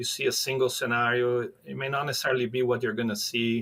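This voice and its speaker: A man talks with a Brazilian accent. His pace is very fast. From Brazil, near São Paulo. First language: Portuguese. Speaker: professor of animal science. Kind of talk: podcast interview. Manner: hesitant, many fillers.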